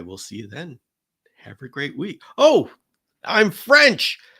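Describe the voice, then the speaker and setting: Very slowly, a man speaks in a bright, sharp tone with vocal fry. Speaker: chameleon keeper and channel host. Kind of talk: live stream Q&A. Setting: live stream. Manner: hesitant, many fillers.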